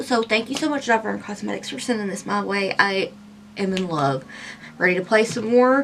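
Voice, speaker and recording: Putting on a raspy character voice, a woman talks at a moderate pace and medium pitch with lively intonation over light background noise. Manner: low energy.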